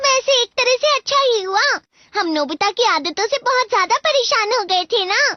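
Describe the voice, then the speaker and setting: This put-on character voice sits at an extremely high pitch and moves at a moderate pace. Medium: fan dub.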